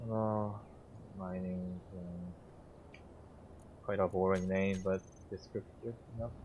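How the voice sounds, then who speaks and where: A man talks at a very slow pace, with long, frequent pauses. His very deep, low voice stays monotone and flat. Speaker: video game streamer. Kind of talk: gameplay live stream commentary. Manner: slurred; halting.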